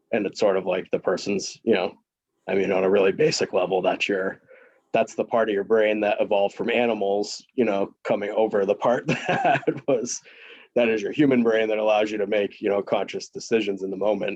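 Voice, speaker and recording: A man with a fairly low pitch talks at a fairly quick pace with fairly even intonation. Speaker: presenter on trauma-informed recovery. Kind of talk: group discussion. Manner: fast.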